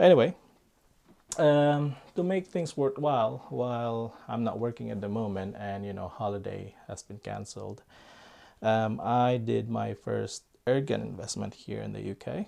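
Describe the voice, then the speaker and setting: A man with a Filipino accent speaks at a moderate pace, his loudness swinging widely. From Philippines. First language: Filipino language. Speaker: airgun YouTuber. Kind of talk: casual vlog talk. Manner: hesitant, many fillers.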